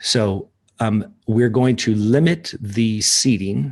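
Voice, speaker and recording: The man's voice sits fairly low, with ordinary pitch variation. The background is quiet. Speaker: ministry leader hosting a livestream. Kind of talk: live-stream talk reading chat comments. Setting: at home, partner asleep upstairs. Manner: talking quietly; hesitant, many fillers.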